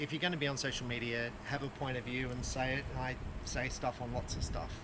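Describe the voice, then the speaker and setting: With an Australian accent, a man speaks at a very fast pace with fairly even intonation over noticeable background noise. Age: 50s. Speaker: archery shop owner and bow reviewer. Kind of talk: casual video review chat. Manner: halting, many fillers.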